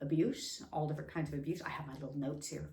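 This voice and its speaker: Background noise and room echo are both audible. The speaker is a woman with an American accent. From Las Vegas, US West. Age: 50s. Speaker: vlogger, abuse survivor. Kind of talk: personal testimony. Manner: halting, many fillers.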